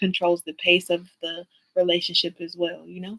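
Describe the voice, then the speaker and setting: A woman's fairly low-pitched, bright, sharp voice at a fairly quick pace, monotone and flat, with a dry, close sound and no echo. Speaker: tarot reader. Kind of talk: live tarot reading. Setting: livestream. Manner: fast.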